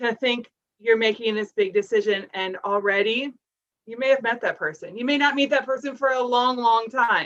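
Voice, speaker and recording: With an American accent, the speaker uses an ordinary speaking voice at a moderate pace and ordinary pitch variation. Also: woman. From Minnesota. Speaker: family service counselor. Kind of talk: presentation with slides.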